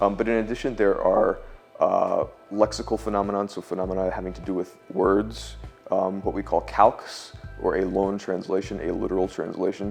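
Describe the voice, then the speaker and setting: Background music accompanies the speaker. He is a man talking at a moderate pace. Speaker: linguistics professor. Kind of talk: academic interview answer. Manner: measured, explanatory.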